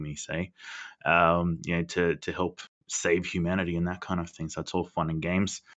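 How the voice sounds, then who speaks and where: A man with an Australian accent talks at a fairly quick pace in a very deep, low pitch and a flat monotone. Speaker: podcast co-host. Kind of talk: casual chat. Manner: loud.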